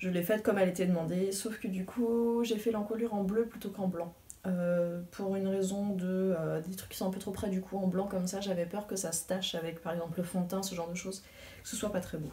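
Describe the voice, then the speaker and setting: A woman at medium pitch, fairly quick and fairly even in intonation, amid audible room echo and noticeable background noise. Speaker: knitting podcaster. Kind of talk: casual video podcast monologue. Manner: hesitant with many fillers.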